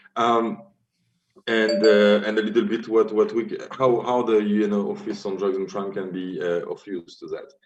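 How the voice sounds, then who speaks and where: A man talks at a moderate pace with a French accent. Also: big swings in loudness. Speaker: UN drug policy official. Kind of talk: conference presentation. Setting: virtual forum via video call. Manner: halting, many fillers.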